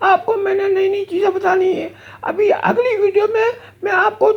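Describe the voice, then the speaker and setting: A man performs a put-on character voice at an extremely high pitch. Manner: scolding, cheeky.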